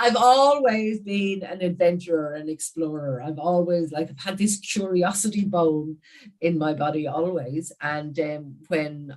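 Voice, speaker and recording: A woman talks with a very deep, low pitch and ordinary pitch variation. Her pace is fairly slow. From Ireland, Wicklow on east coast. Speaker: business coach. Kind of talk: casual chat.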